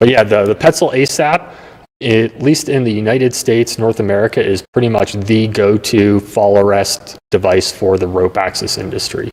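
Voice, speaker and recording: At a moderate pace, a man speaks in an ordinary speaking voice, medium in pitch with ordinary pitch variation. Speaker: rope access gear expert. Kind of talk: interview explaining technical gear.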